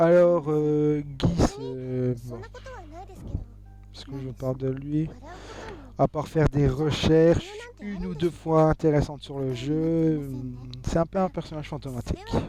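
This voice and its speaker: The speech moves at a very slow pace, with long, frequent pauses. Music plays in the background. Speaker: video game reviewer. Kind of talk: video review. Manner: halting, many fillers.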